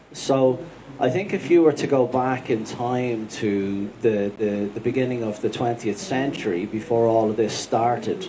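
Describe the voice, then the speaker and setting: A man speaks with a Dublin accent and ordinary pitch variation over noticeable background noise. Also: medium pitch for a man. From Dublin, Ireland. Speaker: farmer and author. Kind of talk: panel talk. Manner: hesitant, repeats words.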